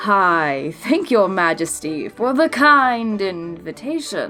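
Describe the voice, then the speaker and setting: A woman puts on a character voice at a medium pitch, speaking at a fairly slow pace. Her pitch swings very widely, and faint music plays in the background. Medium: read story. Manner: sly, persuasive.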